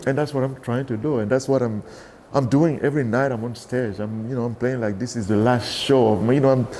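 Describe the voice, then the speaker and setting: The speaker is a man. He talks with a Cameroonian accent. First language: Douala. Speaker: bass player. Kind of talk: interview. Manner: animated; halting.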